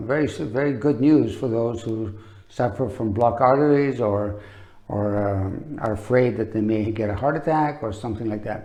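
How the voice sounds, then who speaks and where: A man's dark, mellow voice at a medium pitch, with ordinary pitch variation, a moderate pace and audible room echo. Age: 60s. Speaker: olive oil promoter. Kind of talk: product demonstration. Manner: casual, halting with fillers.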